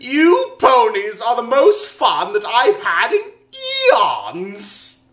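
In a cartoonish character voice, a man speaks very slowly at an extremely high pitch. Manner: playful, mocking, with laughs.

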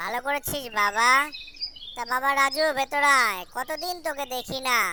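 A female-sounding cartoonish character voice, high pitch, moderate pace, clear background noise.

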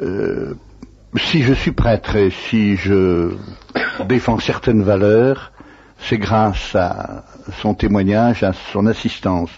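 A man's fairly low voice against noticeable background noise. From France, Savoie (Annecy). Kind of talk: interview. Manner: halting.

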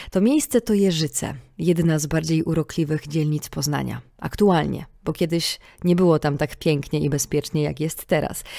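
Very deep and low in pitch, a woman speaks in a calm, dark, mellow tone at a moderate pace with fairly even intonation, on a very clean recording with a silent background. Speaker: podcast host. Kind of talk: scripted narration; casual chat. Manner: calm, clear diction.

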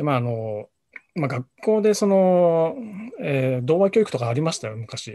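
A man talks at a moderate pace and fairly high pitch, with very wide pitch swings. The background is quiet. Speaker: freelance journalist. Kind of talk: video discussion. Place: home room. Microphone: video call.

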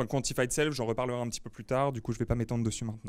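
The background is silent on this very clean recording. A man talks at a medium pitch. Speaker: meetup speaker on big data strategy. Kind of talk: lecture. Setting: meetup talk with small live audience. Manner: hesitant, many fillers.

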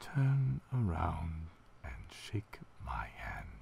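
A man puts on a raspy character voice with a very deep, low pitch and very wide pitch swings. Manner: creepy, menacing.

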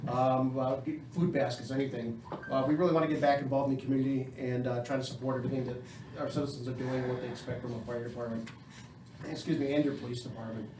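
Amid audible room echo and noticeable background noise, a man with an American accent talks at a very fast pace in a medium pitch with monotone, flat intonation. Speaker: fire chief. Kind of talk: public meeting address. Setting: village council meeting.

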